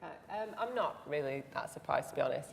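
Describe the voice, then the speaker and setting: A woman's voice with a regional British accent and ordinary pitch variation. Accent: regional British accent, non-RP. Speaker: biblical studies lecturer. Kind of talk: panel discussion.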